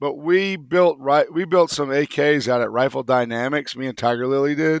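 With ordinary pitch variation, a man's fairly high voice moves along at a fairly slow pace. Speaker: knifemaker. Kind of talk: casual chat. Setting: video call. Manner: animated.

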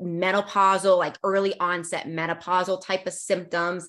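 Against a silent background in a very clean recording, a woman speaks with an American accent. Hers is an unremarkable speaking voice at medium pitch and a moderate pace. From US, Northern Virginia. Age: 40s. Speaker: naturopathic doctor. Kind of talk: interview. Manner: casual, many fillers.

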